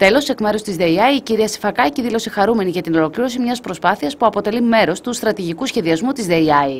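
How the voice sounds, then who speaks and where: In an ordinary speaking voice, a woman talks at a fairly high pitch and fairly quick pace with lively intonation and hardly any pauses. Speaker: news reporter. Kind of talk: news report narration.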